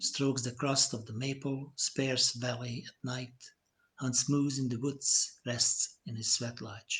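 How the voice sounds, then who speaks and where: At a very slow pace, a man with a Hungarian accent speaks in a monotone, flat intonation. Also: medium pitch for a man. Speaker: poet. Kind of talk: poetry reading. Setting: live stream.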